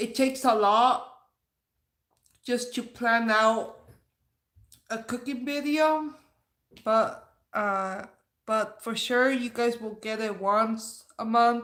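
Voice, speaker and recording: Amid audible room echo, a woman with a fairly high pitch speaks at a very slow pace. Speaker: YouTuber doing a livestream. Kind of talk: casual livestream chat, reading comments. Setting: livestream.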